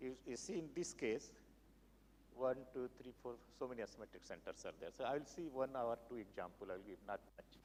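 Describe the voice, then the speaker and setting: A man's medium-pitched voice with vocal fry, a fairly quick pace and ordinary pitch variation. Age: 70s. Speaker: research chemist. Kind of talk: lecture. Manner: halting.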